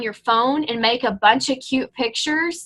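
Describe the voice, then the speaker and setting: A woman with a high, bright, sharp voice speaks at a fairly slow pace, raised and projected. Her pitch variation is ordinary. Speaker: fitness coach team leader. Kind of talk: team training call. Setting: group conference call with chat. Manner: animated.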